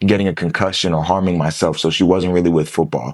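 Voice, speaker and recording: This is a man speaking with an American accent. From US Midwest, Columbus, Ohio. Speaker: former college football player. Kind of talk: podcast interview. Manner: casual, filler-heavy.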